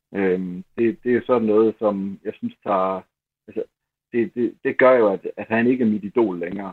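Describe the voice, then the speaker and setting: A plain, everyday voice from a man, fairly low in pitch, at a fairly slow pace with fairly even intonation. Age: 50s. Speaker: newspaper columnist, football fan. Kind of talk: interview. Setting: phone call.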